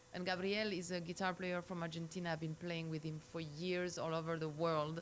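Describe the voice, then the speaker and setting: A woman speaks with a French accent at a fairly low pitch. She moves at a fairly quick pace. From France, Paris. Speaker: singer. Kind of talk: interview chat. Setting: studio.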